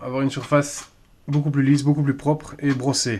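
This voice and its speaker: At a moderate pace, a man talks. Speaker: airsoft replica customizer. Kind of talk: improvised tutorial talk to camera.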